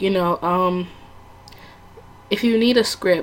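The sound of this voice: Vocal fry colors the speech, which moves at a fairly slow pace. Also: woman.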